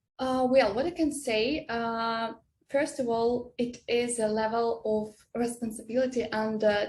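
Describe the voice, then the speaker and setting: This woman has a fairly high pitch and a non-native accent. Her intonation stays fairly even. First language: not English. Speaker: software developer. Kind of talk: interview. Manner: halting, many hesitations.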